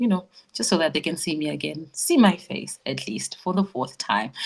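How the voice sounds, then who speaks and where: With vocal fry and a very deep, low pitch, a woman speaks at a moderate pace. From Zimbabwe. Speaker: beauty queen and voice actress. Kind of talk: interview storytelling. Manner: animated.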